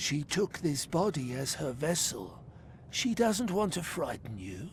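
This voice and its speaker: A man does a put-on character voice, fairly high-pitched and swinging very widely in pitch. He talks at a fairly slow pace against clear background noise. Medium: video game. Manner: cryptic, third-person speech.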